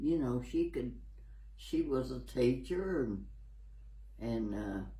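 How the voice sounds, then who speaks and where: In a very slow delivery, a man with an American accent speaks amid audible room echo. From US South, Tennessee. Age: 80s+. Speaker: elderly local resident. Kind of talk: interview. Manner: halting.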